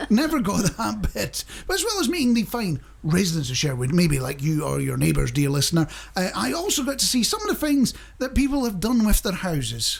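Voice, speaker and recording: A Scottish accent against noticeable background noise. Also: man, fairly quick pace. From Scotland. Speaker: radio host. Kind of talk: casual radio chat.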